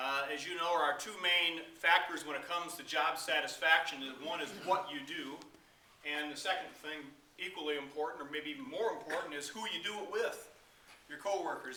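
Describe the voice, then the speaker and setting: A man with an American accent speaks at a moderate pace in a high voice with ordinary pitch variation. The recording has audible room echo and noticeable background noise. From Michigan, Kalamazoo area. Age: 60s. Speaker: charity director, former pastor. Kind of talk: talk to a club meeting.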